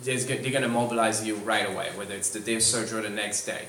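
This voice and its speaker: In a French Canadian accent, a man talks very fast with a monotone, flat intonation, amid noticeable background noise and audible room echo. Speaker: occupational therapist. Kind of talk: lecture. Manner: hesitant, many fillers.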